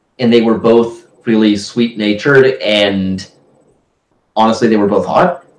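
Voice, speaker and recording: Fairly slow speech from a man, in a room with audible echo. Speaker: book discussion host. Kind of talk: casual discussion, partly reading aloud. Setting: live stream. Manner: hesitant. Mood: wry, anecdotal. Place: home room. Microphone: video call.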